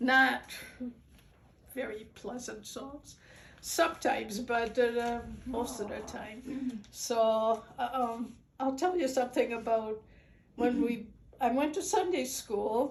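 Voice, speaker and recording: A woman speaks very slowly in a high voice with ordinary pitch variation. Her pauses are long and frequent. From Netherlands. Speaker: immigrant sharing life story. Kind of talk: personal storytelling.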